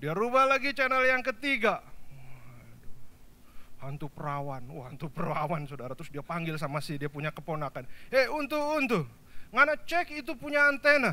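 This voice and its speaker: In a Javanese accent, a man speaks in a raised, projected voice at a high pitch and a moderate pace. His tone is animated, with very wide pitch swings. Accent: Javanese-accented Indonesian. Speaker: pastor. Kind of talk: sermon.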